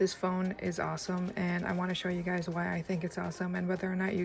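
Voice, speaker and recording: Over music in the background, a woman at a medium pitch talks fairly quickly with monotone, flat intonation. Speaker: tech reviewer. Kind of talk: casual talk to camera.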